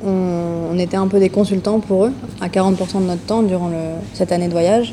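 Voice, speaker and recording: Noticeable background noise is present. The speech has monotone, flat intonation. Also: woman. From northern France, Lille. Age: 20s. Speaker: eco-association co-founder, traveler. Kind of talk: podcast interview.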